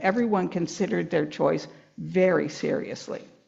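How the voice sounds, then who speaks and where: A woman speaks at a medium pitch and a moderate pace. Vocal fry runs through the voice. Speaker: author. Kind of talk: reading aloud from own book.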